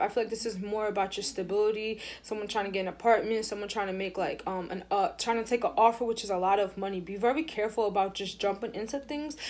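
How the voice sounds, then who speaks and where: A woman talks at a very fast pace with a fairly high pitch. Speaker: tarot reader. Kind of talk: tarot reading.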